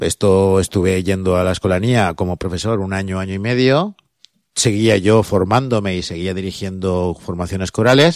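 The recording is very clean, with a silent background. A man with a very deep, low voice talks at a moderate pace with fairly even intonation. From Chirivella, Valencia. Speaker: choir school director. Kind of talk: interview answers.

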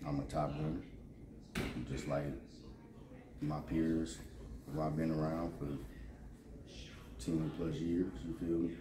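Over noticeable background noise, a man with a very deep, low pitch speaks at a fairly slow pace with long, frequent pauses. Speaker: interviewee. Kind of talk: interview answer. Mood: calm, laid-back. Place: hall.

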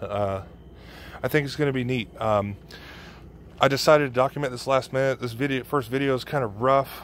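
With a medium pitch and fairly even intonation, a man talks at a fairly quick pace broken by long, frequent pauses. The sound is dry with no echo, over light background noise. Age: 30s. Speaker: motorcycle vlogger. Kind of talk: casual video blog. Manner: halting, many fillers. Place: garage. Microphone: phone near.

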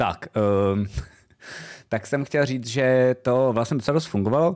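With lively intonation, a man talks at a moderate pace over a quiet background. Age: 30s. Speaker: streamer and vidcast host; streamer, vidcast host. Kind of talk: casual chat. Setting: home streaming studio. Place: home room. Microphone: studio mic.

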